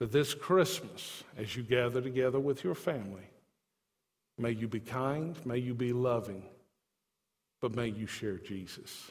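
Somewhat breathy and at a medium pitch, a man speaks at a fairly slow pace with long, frequent pauses and ordinary pitch variation, his voice carrying audible room echo. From not from Tennessee. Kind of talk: sermon.

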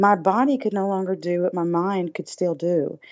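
A woman speaks with a Southern US accent. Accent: southern drawl. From US South, Alabama. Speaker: recovering addict and public speaker. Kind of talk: testimony.

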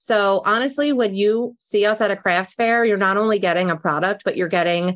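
In a Philadelphia accent, a woman speaks at a medium pitch with ordinary pitch variation. The recording is very clean, with a silent background. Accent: Philadelphia-area American. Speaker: small business owner. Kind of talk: casual interview.

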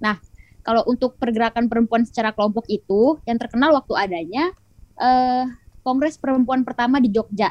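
Fairly high in pitch with ordinary variation, a woman uses an ordinary speaking voice at a fairly quick pace, the sound dry and close with no echo. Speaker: law student activist. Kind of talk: casual chat.

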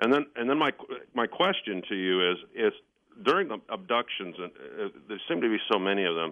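With an American accent, a man of medium pitch talks at a fairly quick pace, his pitch swinging very widely between long, frequent pauses. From Ohio. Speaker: caller. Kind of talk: casual chat. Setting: phone call.

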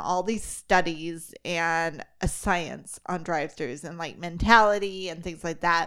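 A woman with an American accent at a very slow pace, in a very clean recording over a silent background. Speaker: podcast host. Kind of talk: casual chat.

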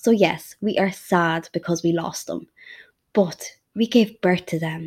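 In a western Irish accent, a woman speaks at a moderate pace. The recording is very clean, and the background is silent. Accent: Irish (west of Ireland). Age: 30s. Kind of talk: personal monologue. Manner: hesitant, frequent ums.

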